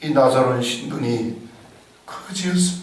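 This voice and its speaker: This man has a fairly high pitch and ordinary pitch variation. He talks at a very slow pace, with audible room echo. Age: 60s. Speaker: pastor. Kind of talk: sermon.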